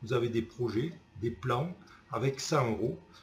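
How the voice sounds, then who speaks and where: With a Toulouse accent, a man speaks in a somewhat breathy voice with ordinary pitch variation. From Toulouse, southern France. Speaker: customer giving a testimonial. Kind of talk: testimonial. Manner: casual, enthusiastic.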